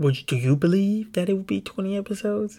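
A man whispers quietly at a moderate pace, his voice somewhat breathy. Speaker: podcast host. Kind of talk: casual chat. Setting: home room. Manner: whispering, quiet; animated, joking.

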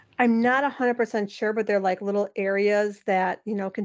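A woman's unremarkable speaking voice, medium in pitch, fairly quick and fairly even in intonation, against a quiet background. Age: 40s. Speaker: motivational speaker, former hospital worker. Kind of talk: casual interview.

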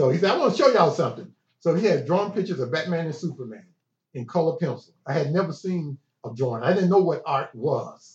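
A fairly high-pitched man in a Southern US accent, fairly quick and with lively intonation. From Chattanooga, Tennessee. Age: 60s. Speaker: art school founder. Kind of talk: casual interview. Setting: in person.

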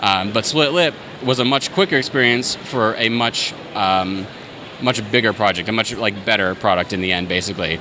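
A man with an American accent and fairly low pitch, at a moderate pace, over noticeable background noise. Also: ordinary pitch variation. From US Southwest, Yuma, Arizona. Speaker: indie filmmaker. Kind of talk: casual interview. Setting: convention floor.

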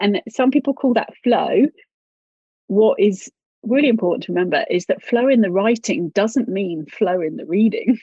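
With a British accent, a woman talks at a moderate pace in a fairly high, somewhat breathy voice with lively intonation. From UK. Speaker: author and writing teacher. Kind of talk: interview.

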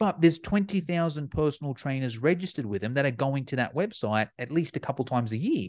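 Over a quiet background, a man with an Australian accent talks at a very fast pace in an animated tone, his fairly high voice carrying lively intonation. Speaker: fitness educator. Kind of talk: casual chat.

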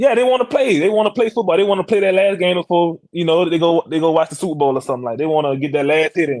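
Barely pausing, a man with a Louisiana accent talks very fast in a high pitch with lively intonation. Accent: Louisiana Southern. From Louisiana (Iberville Parish). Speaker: NFL offensive lineman. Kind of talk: casual interview.

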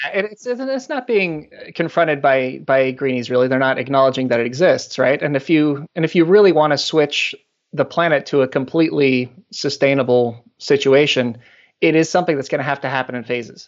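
An American accent at a fairly quick pace, with ordinary pitch variation. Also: man, fairly high pitch for a man. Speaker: company executive. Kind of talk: casual interview. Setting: phone call. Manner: halting.

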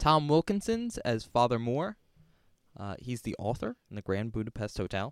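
In an ordinary speaking voice, a man talks at a moderate pace and medium pitch with lively intonation. The recording is very clean with a silent background and a dry, close sound with no echo. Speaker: podcast host and college student. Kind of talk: casual chat.

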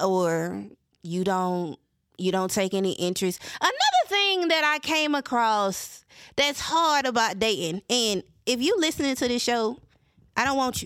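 A woman's fairly high voice in a Southern US accent, with very wide pitch swings and a fairly slow pace. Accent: Southern US, country. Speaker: podcast host. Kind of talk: solo podcast monologue. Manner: casual, candid, emotional.

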